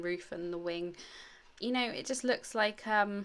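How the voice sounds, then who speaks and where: A woman with a British accent, medium-pitched and bright, sharp in tone, at a moderate pace with ordinary pitch variation, on a very clean recording with a silent background. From England. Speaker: scrapbooking youtuber. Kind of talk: crafting tutorial. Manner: casual, hesitant with many fillers.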